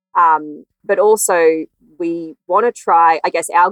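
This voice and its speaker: Recorded with a dry, close sound and no echo, a woman speaks with an Australian accent. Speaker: veterinarian. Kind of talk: interview.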